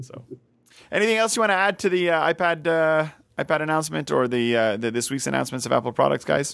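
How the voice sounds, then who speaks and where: A man with a French Canadian accent speaks at a very fast pace and a fairly high pitch. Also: lively intonation. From Quebec, French Canadian. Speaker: podcast host. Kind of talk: casual chat. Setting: home studio with bar.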